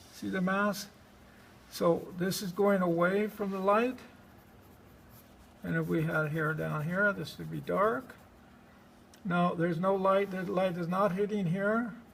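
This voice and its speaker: Amid audible room echo, the speaker goes at a fairly slow pace with fairly even intonation and long, frequent pauses. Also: man, high pitch for a man. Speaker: art instructor. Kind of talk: live drawing demonstration to a class.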